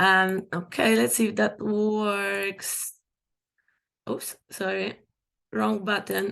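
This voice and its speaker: Over a quiet background, a woman with a non-native accent speaks at a very slow pace with long, frequent pauses. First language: not English. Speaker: documentary filmmaker. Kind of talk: panel presentation.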